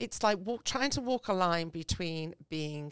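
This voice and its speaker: The speaker has an English accent and lively intonation at a fairly slow pace. The very clean recording has a silent background and a dry, close sound with no echo. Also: woman. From England. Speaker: small business owner. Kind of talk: casual chat.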